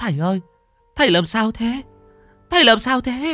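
A put-on character voice from a man, extremely high-pitched with a bright, sharp tone and lively intonation, at a moderate pace over faint music in the background

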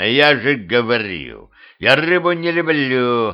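A man puts on a growling character voice at a medium pitch and a fairly slow pace.

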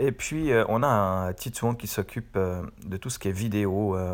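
A normal speaking voice from a man, fairly low in pitch with ordinary variation, comes through on a very clean recording with a silent background. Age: 40s. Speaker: web professional and podcaster. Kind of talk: casual monologue. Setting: in bed at home.

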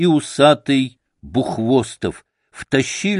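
Read aloud in a natural voice with ordinary pitch variation over a quiet background.

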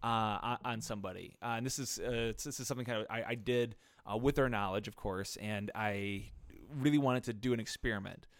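A man with a normal speaking voice talks at a fairly quick pace, his pitch medium and his intonation fairly even. The recording is very clean, with a silent background. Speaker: podcast co-host. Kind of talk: casual chat.

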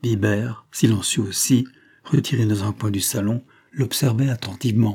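An unforced reading voice is heard here.

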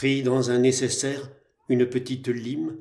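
A plain reading aloud plays out over a quiet background.

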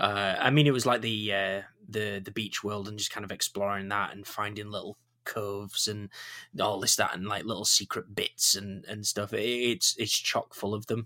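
With a Yorkshire accent and a bright, sharp tone, the speaker talks at a moderate pace with monotone, flat intonation. The recording is very clean, with a silent background. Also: man, fairly low pitch for a man. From Yorkshire, northern England. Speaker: podcast host. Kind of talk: casual chat.

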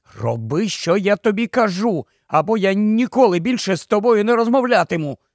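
A man puts on a character voice pitched high, with hissing on his words. He keeps a moderate pace. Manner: hissed, urgent, commanding.

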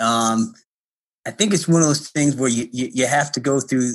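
A man's medium-pitched, a normal speaking voice with an American accent, at a moderate pace with ordinary pitch variation, on a very clean recording with a silent background. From Connecticut, US Northeast. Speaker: college basketball coach. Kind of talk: interview.

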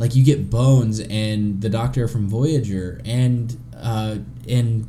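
A man's medium-pitched voice with an American accent and ordinary pitch variation, amid noticeable background noise and audible room echo. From US South. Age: 30s. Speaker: podcast host. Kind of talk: casual chat.

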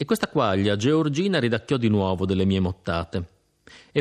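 Intonation is lively throughout this reading aloud in a natural voice. Little else can be heard in the quiet background.

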